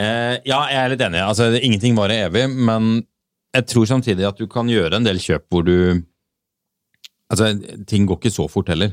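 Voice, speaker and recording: A man with a fairly low voice talks at a moderate pace with ordinary pitch variation and long, frequent pauses. The sound is dry and close, with no echo. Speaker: car podcast host. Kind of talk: casual chat.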